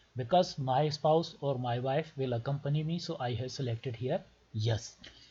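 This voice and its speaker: With a Pakistani accent, a man speaks at a fairly high pitch in a dark, mellow, somewhat breathy tone with lively intonation. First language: Urdu. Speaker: doctor making visa tutorials. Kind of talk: tutorial.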